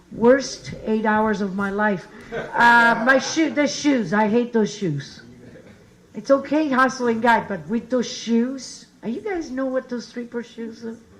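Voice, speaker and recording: A woman with an Italian accent talks at a fairly slow pace in a fairly high pitch, with ordinary pitch variation and audible room echo. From Italy. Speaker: comedian and show host. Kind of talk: stand-up; introducing next comedian. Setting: stage with audience.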